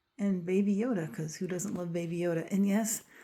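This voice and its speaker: Moderate pace from a woman, somewhat breathy, medium in pitch, with a dark, mellow tone. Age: 60s. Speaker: craft and journaling vlogger. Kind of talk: room tour vlog. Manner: animated.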